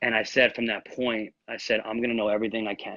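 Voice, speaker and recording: Here a man speaks with an American accent at a fairly quick pace. His pitch is medium. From New York. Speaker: real estate agent and channel host. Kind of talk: interview on a live video stream. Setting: live video call. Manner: fast.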